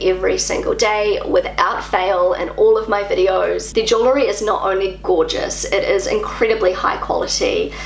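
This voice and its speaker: Over light background noise and audible room echo, a woman speaks at a fairly slow pace. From New Zealand. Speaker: YouTuber. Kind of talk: vlog monologue. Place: home room.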